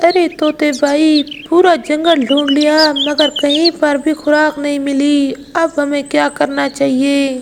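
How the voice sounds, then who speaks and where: A cartoonish character voice, female-sounding and high-pitched, delivered at a fairly slow pace. The intonation stays flat and monotone over clear background noise. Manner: earnest.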